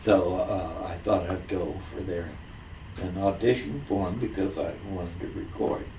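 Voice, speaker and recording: Speaking with an American accent, a man has a dark, mellow tone that is somewhat breathy. He keeps a moderate pace and fairly even intonation amid audible room echo. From US Midwest, Springfield, Ohio. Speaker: singer, Navy veteran. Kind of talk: oral history interview. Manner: halting, many fillers.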